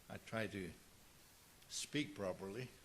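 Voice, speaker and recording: Heard with audible room echo, a man with a South African accent speaks at a fairly low pitch with vocal fry. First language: Afrikaans. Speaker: pastor. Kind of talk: sermon.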